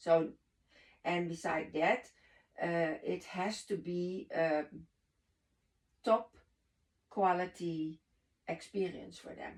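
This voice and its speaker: A woman with a Dutch accent speaks at a very slow pace with long, frequent pauses. Her pitch is fairly low and her intonation fairly even. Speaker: network marketing leader. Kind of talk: podcast conversation. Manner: halting, searching for words.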